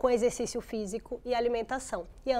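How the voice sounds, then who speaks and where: Speaking at a fairly quick pace, a woman has a high-pitched voice. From Brazil. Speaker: geriatrician; studio guest or host. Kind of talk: TV interview. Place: studio.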